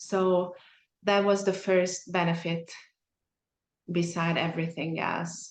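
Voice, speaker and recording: In a Hungarian accent, a woman speaks at a very slow pace with a fairly low pitch, monotone, flat intonation, and long, frequent pauses. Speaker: mastermind group member. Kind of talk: casual group discussion. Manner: searching for words.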